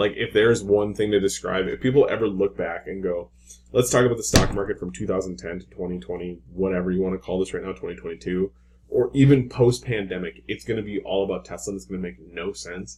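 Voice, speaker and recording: Speaking at a very fast pace with a fairly low pitch, a man shows lively intonation, big swings in loudness and vocal fry. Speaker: stock market commentator. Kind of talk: market analysis screen-share talk. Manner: casual, informal.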